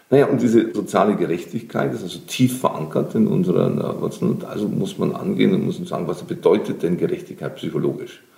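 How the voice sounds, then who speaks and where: Over noticeable background noise, a man talks very fast with hardly any pauses. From Lower Bavaria, Germany. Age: 50s. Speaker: social entrepreneur and creative coach. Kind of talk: interview.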